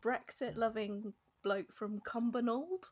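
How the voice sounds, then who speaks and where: At a moderate pace, a woman with a fairly high pitch speaks in an ordinary speaking voice. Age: 30s. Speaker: podcast guest. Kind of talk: casual chat.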